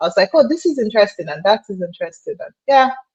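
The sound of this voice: A woman's medium-pitched voice at a fast pace, slightly mellow with a slightly husky edge and big pitch swings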